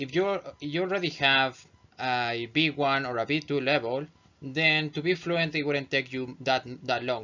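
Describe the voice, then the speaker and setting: With music in the background, a man in a non-native accent speaks at a moderate pace and fairly high pitch, with ordinary pitch variation. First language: not English. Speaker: English teacher. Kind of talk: tutorial. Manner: halting.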